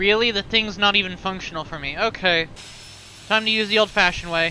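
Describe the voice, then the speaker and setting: The speech moves fairly quickly, with noticeable background noise behind it. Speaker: flight sim streamer. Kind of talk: radio phraseology; casual livestream commentary. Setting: livestream with chat. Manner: stuttering.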